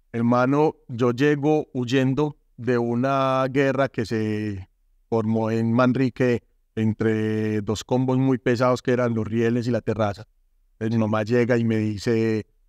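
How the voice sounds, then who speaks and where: Very slowly and at very even loudness, a man speaks at a medium pitch with fairly even intonation, in a dry sound with no echo and a quiet background. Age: 40s. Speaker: former gang member turned artist and speaker; speaker. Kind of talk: testimony. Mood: earnest, emotional life story. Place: studio. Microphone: lapel.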